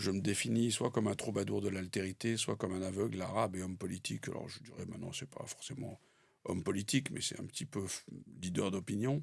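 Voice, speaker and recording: This man's pitch is fairly low, with ordinary pitch variation. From France (born in Algeria, schooled in Paris). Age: 60s. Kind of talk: interview. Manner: hesitant with frequent fillers.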